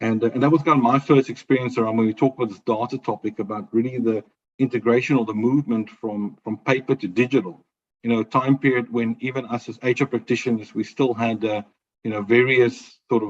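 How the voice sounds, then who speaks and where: A man with a South African accent speaks at a very fast pace, medium pitch and fairly even intonation, with a dry, close sound and no echo. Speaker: HR business partner, webinar panelist. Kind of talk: webinar presentation. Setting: video call. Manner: hesitant, many fillers.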